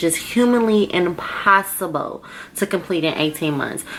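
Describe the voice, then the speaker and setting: Here is a woman with an unremarkable speaking voice. Her pitch is medium, with ordinary pitch variation. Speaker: vlogger and grad student. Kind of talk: casual vlog monologue.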